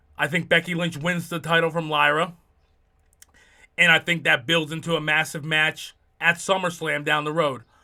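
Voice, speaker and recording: In a New Jersey accent, a man talks at a fairly quick pace with an animated, bright, sharp tone. The recording is very clean, with a silent background. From US Northeast, New Jersey. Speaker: wrestling podcast host. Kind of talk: casual commentary monologue. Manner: fast; animated, many fillers.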